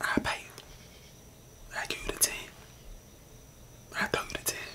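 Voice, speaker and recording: A man whispers. He is soft-spoken. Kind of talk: comedic roleplay skit. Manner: soft ASMR whisper, sly classmate.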